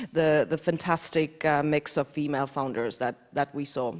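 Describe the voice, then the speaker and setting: A woman speaks with an Estonian accent. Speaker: defense innovation executive, award jury member. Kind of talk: panel discussion.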